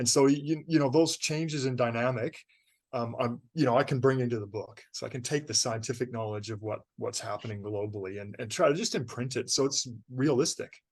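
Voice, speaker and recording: A man with an ordinary speaking voice and a Canadian accent, medium pitch and a fairly quick pace, over a quiet background. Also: ordinary pitch variation. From Canada. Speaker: novelist. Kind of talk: interview.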